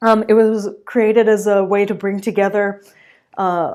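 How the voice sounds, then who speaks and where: A woman speaks fairly slowly with monotone, flat intonation on a very clean recording with a silent background. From France. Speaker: booktube creator. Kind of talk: casual commentary ranking topics. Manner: rambling with many fillers.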